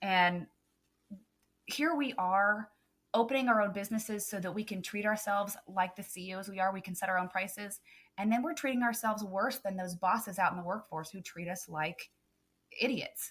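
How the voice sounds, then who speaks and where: A woman with a slight Southern US accent talks at a fairly quick pace. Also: medium pitch for a woman, ordinary pitch variation, very clean recording, silent background. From Texas. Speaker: photographer and business coach. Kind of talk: podcast interview.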